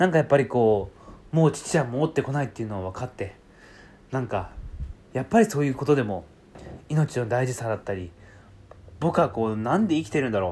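Fairly quick and lively in intonation, a man talks at a medium pitch with a somewhat breathy, dark, mellow tone. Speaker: podcast host and writer trainer. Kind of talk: solo monologue. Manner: fast, sometimes stumbling.

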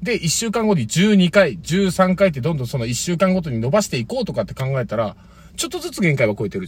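A man's animated, high-pitched voice at a very fast pace, with very wide pitch swings. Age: 30s. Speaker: former comedian, podcast co-host. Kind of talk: casual chat.

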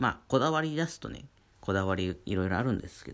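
Lively intonation from a man at a medium pitch and a fairly quick pace. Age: 30s. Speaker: painter and daily radio host. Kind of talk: casual solo talk. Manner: many fillers and hesitations.

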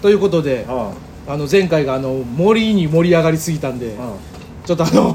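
A man with a Kansai accent, fairly high-pitched, with lively intonation at a fairly quick pace, against noticeable background noise and audible room echo. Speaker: comedian. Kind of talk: casual chat. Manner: animated.

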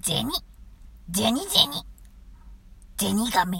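At a moderate pace, a female-sounding voice at medium pitch does a put-on character voice over light background noise. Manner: cute, squeaky.

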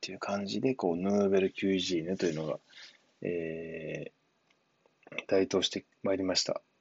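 With a fairly low pitch, a man speaks at a moderate pace. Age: 30s. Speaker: former cook turned programming student. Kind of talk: solo monologue podcast. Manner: casual, filler-heavy.

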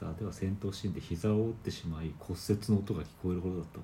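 This man's pitch is very deep and low, with ordinary variation. He speaks at a very fast pace. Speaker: podcast host. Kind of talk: casual chat.

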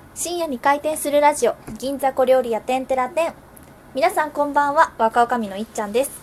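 A high-pitched woman speaks fairly quickly with ordinary pitch variation against noticeable background noise. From Wakayama, Japan. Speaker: podcast host. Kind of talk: casual chat.

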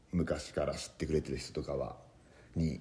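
With vocal fry, a man speaks at a moderate pace at a very deep, low pitch. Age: 30s. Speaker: comedian. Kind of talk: podcast monologue. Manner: halting.

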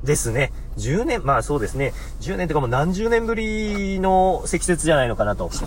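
Lively intonation at a moderate pace, with audible room echo and noticeable background noise. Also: man. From Hokuriku, Japan. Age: 30s. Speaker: podcaster, office worker. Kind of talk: solo talk radio monologue. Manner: polite, formal with many fillers.

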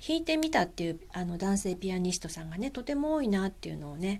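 Relaxed and gentle in tone, a woman speaks at a medium pitch with very wide swings. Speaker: podcast host. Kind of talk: casual monologue. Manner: frequent fillers; relaxed, gentle.

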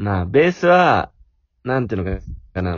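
A man speaks fairly quickly, his pitch swinging very widely. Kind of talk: casual chat.

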